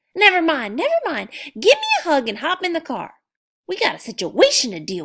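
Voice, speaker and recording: A woman's put-on character voice, raised and projected, extremely high in pitch, with very wide pitch swings at a fairly quick pace. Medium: read story. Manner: brisk, scolding.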